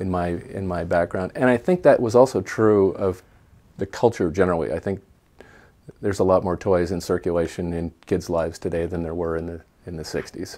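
A man with a Pacific Northwest accent, very deep and low in pitch, dark and mellow in tone, at a fairly quick pace. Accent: Pacific Northwest American. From US Pacific Northwest, Portland, Oregon; Oregon. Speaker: toy store owner, former science teacher; former science teacher. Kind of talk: interview monologue. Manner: halting. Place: home room. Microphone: webcam.

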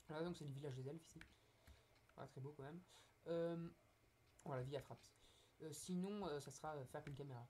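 A man with a dark, mellow tone and a fairly high pitch talks at a moderate pace, somewhat breathy. His intonation stays fairly even, broken by long, frequent pauses. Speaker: gaming youtuber. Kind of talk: gameplay commentary. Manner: hesitant, many fillers. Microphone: poor recording quality.

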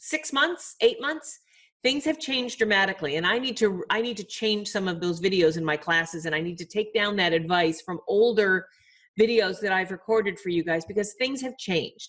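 A woman talks at a moderate speed, her intonation lively, with little sound in the background. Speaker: publishing advice host. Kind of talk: advice show talk to viewers. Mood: friendly, upbeat. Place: home room. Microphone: webcam.

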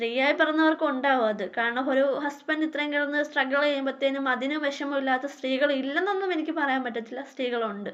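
Pitched high, a woman speaks with fairly even intonation. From India, Kerala, Kollam (Punalur). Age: 30s. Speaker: YouTuber, homemaker. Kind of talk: self-introduction Q&A vlog. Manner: halting.

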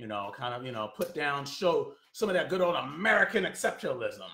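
Audible room echo surrounds a man as he talks. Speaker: political commentator. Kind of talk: commentary rant. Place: home room. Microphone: phone near.

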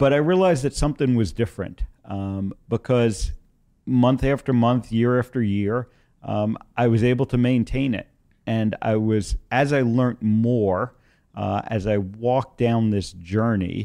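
A man's dark, mellow voice at a fairly slow pace, with ordinary pitch variation. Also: quiet background. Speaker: guest. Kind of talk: interview answer. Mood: calm reflective storytelling. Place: studio. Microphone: studio mic.

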